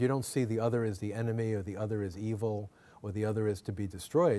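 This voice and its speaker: At a fairly quick pace, the speaker's dark, mellow tone comes through. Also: man. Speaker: Jesuit priest and professor of comparative theology; Jesuit priest, professor of comparative theology. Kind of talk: lecture. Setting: lecture hall with audience. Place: hall. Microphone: podium.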